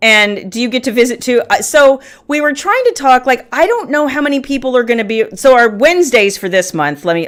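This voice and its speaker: A woman speaks in a high pitch. Her pace is moderate. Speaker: group organizer announcing meeting dates. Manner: casual, rambling, many fillers.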